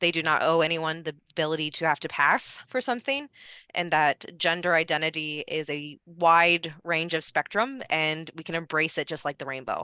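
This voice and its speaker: A bright, sharp tone with an American accent, moderate pace and ordinary pitch variation, in a dry, close sound with no echo over a quiet background. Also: woman, fairly low pitch for a woman. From US Midwest, Ohio. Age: 30s. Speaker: presenter. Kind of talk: Q&A answer.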